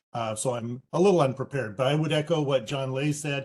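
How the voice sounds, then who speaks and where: The voice is somewhat breathy, with ordinary pitch variation. It moves at a very fast pace. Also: man. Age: 60s. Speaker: public commenter. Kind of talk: public comment.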